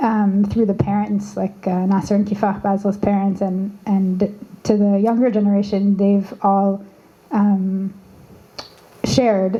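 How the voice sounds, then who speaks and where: The delivery has monotone, flat intonation and very even loudness. Noticeable background noise runs underneath. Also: woman. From Canada. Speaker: activist. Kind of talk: panel discussion. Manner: halting, many fillers and restarts.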